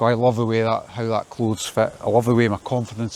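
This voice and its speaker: A man speaks with a Scottish accent. His pitch sits in the medium range. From Scotland. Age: 50s. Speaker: vlogger. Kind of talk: casual monologue. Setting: outdoors in garden, walking. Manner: repetitive, halting.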